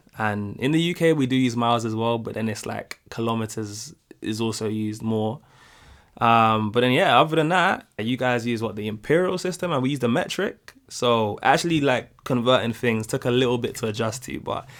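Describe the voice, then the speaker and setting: The recording is very clean with a silent background, and the speaker has a British accent. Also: man. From United Kingdom. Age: young. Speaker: YouTube reaction creator. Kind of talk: casual talk to camera.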